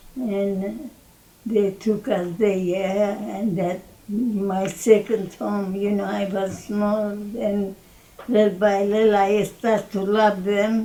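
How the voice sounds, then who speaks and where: Very slowly, a woman speaks at a medium pitch. Her intonation is monotone and flat, with noticeable background noise. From Armenia, Harput province. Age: 80s+. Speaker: genocide survivor. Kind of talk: interview answer.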